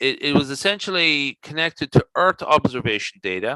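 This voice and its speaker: The voice has an Irish accent with lively intonation and a bright, sharp tone. The sound is dry and close, with no echo. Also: man. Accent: Irish, noticeable. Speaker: statistician and conference presenter. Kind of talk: Q&A discussion. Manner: halting, many fillers.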